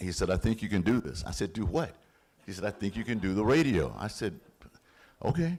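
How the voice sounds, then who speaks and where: Against a silent background in a very clean recording, a man with a fairly low pitch and vocal fry talks at a fairly quick pace, his pitch swinging very widely and his speech broken by long, frequent pauses. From Montgomery, Alabama. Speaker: radio announcer. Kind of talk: testimony. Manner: stutters when excited.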